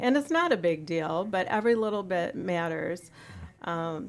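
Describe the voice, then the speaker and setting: On a very clean recording with a silent background, a woman with an American accent and a plain, everyday voice speaks at a moderate pace and medium pitch with ordinary pitch variation. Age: 60s. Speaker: retired teacher and community volunteer. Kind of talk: radio interview. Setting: radio studio.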